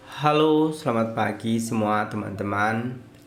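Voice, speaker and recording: Amid audible room echo, a man talks fairly slowly with a fairly low pitch and ordinary pitch variation. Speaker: lecturer sharing reflections. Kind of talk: casual monologue. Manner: halting, many fillers.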